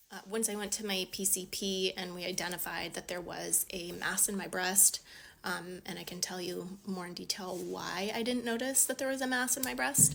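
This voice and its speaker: This voice has a bright, sharp tone with vocal fry, moving at a moderate pace with ordinary pitch variation. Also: woman. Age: 30s. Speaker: patient sharing illness story. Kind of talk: casual personal vlog. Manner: halting, many fillers.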